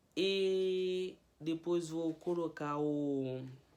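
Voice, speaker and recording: With fairly even intonation, a man's voice sits high in pitch. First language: Haitian Creole (speaking Portuguese). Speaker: language teacher youtuber. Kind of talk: tutorial. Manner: casual.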